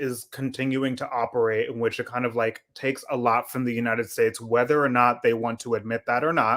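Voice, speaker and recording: An unremarkable speaking voice, a man with an American accent talks at a fairly quick pace and medium pitch with fairly even intonation on a very clean recording with a silent background. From US. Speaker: co-host of a political book discussion stream. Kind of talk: casual discussion.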